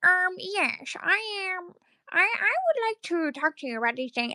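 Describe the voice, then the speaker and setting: Delivered at a moderate pace, this put-on character voice sits at an extremely high pitch and swings very widely. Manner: nerdy, stilted.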